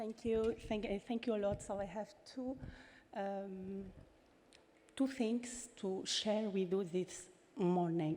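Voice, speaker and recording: In a French accent, a woman with a medium pitch and dark, mellow tone speaks very slowly, with ordinary pitch variation and long, frequent pauses. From France. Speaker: former member of parliament. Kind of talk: conference speech. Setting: stage with audience. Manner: halting.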